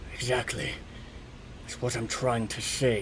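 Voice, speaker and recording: A guttural, put-on character voice at a moderate pace over clear background noise. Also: man, medium pitch for a man. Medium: actual play.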